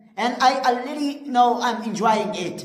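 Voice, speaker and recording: In a Pashto accent, a woman talks at a fairly slow pace with fairly even intonation and a fairly high voice. Noticeable background noise and audible room echo are present. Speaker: English teacher. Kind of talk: tutorial. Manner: halting, with frequent fillers.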